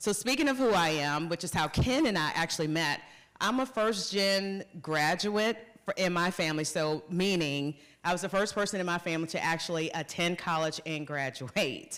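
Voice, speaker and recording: Speaking at a moderate pace in a Southern US accent, a woman with a fairly low pitch uses lively intonation and very even loudness on a very clean recording with a silent background. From US South, North Carolina. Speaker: corporate executive. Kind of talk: conference talk.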